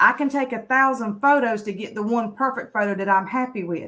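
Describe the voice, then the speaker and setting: A woman with a Southern US accent speaks at a high pitch in a bright, sharp tone. Her pace is moderate and her pitch variation ordinary. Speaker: author and conference speaker. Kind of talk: personal story on a talk show. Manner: casual, conversational.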